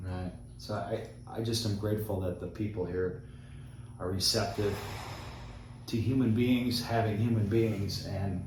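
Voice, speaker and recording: Fairly slow and broken by long, frequent pauses, a man's fairly low voice keeps a fairly even intonation amid audible room echo and noticeable background noise. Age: 50s. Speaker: travel vlogger. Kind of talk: casual chat.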